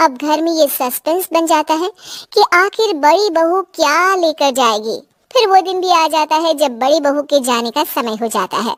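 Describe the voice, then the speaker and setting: A woman uses a cartoonish character voice at an extremely high pitch. Her intonation is lively, and the sound is dry and close with no echo. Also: moderate pace. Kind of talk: children's moral story narration.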